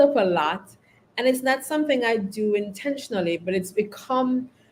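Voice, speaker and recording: A woman speaks at a moderate pace with a Caribbean accent. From Caribbean, St. Vincent and the Grenadines. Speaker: leadership consultant and company founder. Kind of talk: podcast interview.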